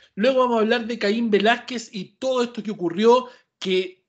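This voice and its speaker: An animated tone in a Chilean accent over a quiet background. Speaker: podcast host. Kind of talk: casual chat.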